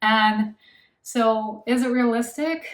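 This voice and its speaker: Somewhat breathy, a woman with an American accent talks at a fairly high pitch with ordinary pitch variation. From United States. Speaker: language-learning vlogger. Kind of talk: casual monologue to camera.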